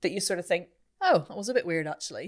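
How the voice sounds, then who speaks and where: In a Northern Irish accent, a woman speaks with a fairly low pitch on a very clean recording with a silent background. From Northern Ireland. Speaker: voice coach and podcast host. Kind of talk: podcast interview answer.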